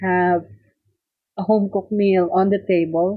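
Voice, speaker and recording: A woman with a Filipino accent speaks at a medium pitch. Her pace is fairly slow and her intonation fairly even. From Philippines, Tarlac. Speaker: cookbook author. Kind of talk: interview, personal reminiscence.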